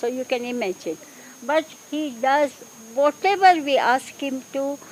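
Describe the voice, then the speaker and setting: Against noticeable background noise, a woman speaks at a fairly slow pace with a high pitch. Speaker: support group co-founder. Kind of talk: speech at public event.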